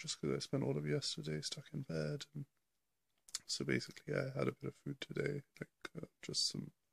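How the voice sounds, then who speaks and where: Quiet and at a fairly quick pace, a man speaks in a dry, close sound with no echo. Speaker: vlogger. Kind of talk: casual video diary. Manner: hesitant, many fillers; quiet, keeping voice down.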